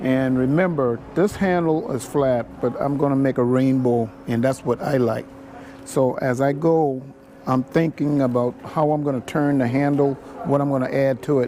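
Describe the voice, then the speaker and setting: Against noticeable background noise, a man speaks at a fairly slow pace with a fairly high pitch and ordinary pitch variation. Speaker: basket weaver. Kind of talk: tutorial. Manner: mumbling.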